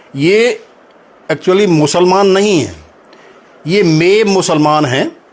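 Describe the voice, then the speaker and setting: A high-pitched man speaks with ordinary pitch variation. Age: 70s. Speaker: local historian. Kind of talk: interview.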